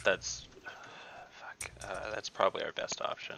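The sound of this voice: A man talks at a fairly slow pace with a low pitch, vocal fry and a bright, sharp tone. His pitch varies in an ordinary way.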